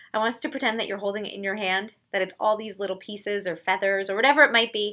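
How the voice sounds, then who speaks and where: A woman speaks very fast at a medium pitch with fairly even intonation, her bright, sharp tone rising and falling widely in loudness over a silent background in a very clean recording. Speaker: elementary school counselor. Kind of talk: guided mindfulness exercise for school children. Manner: calm, soothing.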